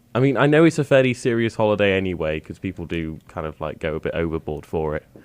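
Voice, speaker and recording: Talking at a very fast pace, a man with a very deep, low voice swings his pitch very widely. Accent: British. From Britain. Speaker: radio host. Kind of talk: casual chat. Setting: studio.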